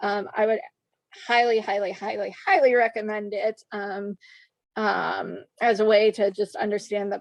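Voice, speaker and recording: A woman with an unremarkable speaking voice talks at a fairly slow pace with a fairly high pitch. The sound is dry and close, with no echo. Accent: American. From US Midwest, Chicago suburbs. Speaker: horse trainer and riding instructor. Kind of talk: podcast interview. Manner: many filler words (um, uh).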